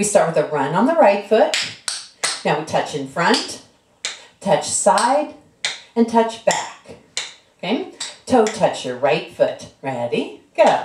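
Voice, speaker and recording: A woman talks at a fairly slow pace, with long, frequent pauses and noticeable noise in the background. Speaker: dance instructor. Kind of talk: tutorial. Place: home room. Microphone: camera far.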